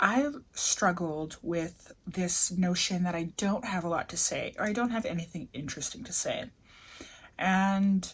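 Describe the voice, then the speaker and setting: A woman speaks at a fairly slow pace in a somewhat breathy voice. Her pitch sits in the medium range and varies in an ordinary way. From Canada. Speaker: vlogger. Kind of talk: casual vlog monologue. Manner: casual, filler-heavy.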